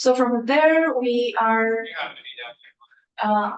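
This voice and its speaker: A woman speaks in a Colombian accent. Her pitch is fairly high, with ordinary variation. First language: Spanish. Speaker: testifying witness, equity office staff. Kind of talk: committee testimony. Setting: legislative committee hearing.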